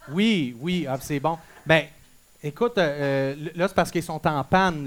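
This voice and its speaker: The speaker sounds animated, talking in a Quebec accent. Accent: Québécois French. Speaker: school radio show host. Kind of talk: comedic school radio show hosting.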